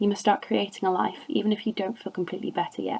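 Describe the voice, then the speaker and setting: A woman's medium-pitched voice at a fairly quick pace, with fairly even intonation and noticeable background noise. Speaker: amateur reader. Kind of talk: poetry reading. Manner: occasionally stumbles over words.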